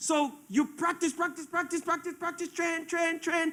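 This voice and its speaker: A man speaks at an extremely high pitch, his tone bright and sharp. His voice is raised and projected, at a moderate pace with fairly even intonation. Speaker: preacher. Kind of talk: sermon.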